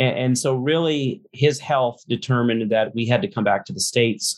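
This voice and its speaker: A man's moderate-paced speech in a Southern US accent, with ordinary pitch variation. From US South, Louisiana. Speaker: pastor. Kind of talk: casual chat. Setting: video call. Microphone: poor audio over video call.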